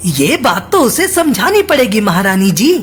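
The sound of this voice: A cartoonish character voice at a fairly high pitch with very wide pitch swings, moderate pace, and clear background noise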